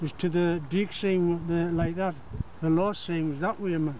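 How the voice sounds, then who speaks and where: A man's high-pitched voice with fairly even intonation and a fairly slow pace, over noticeable background noise. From County Durham. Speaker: retired coal miner. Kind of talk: interview answer, reminiscing. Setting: outdoors. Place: open country. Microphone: phone near.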